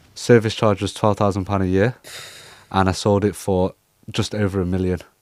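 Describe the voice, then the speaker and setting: Recorded very cleanly against a silent background, the speaker uses a northern English accent and a flat, monotone delivery at a moderate pace. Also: man, fairly low pitch for a man. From northern England, Cheshire. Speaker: property investment broker. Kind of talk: casual interview chat.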